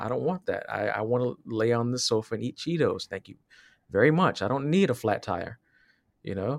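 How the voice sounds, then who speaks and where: With an American accent and a normal speaking voice, a man talks at a medium pitch and a fairly quick pace with lively intonation. The sound is dry and close, with no echo. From Southwest Virginia, US. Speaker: podcast co-host. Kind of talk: casual chat.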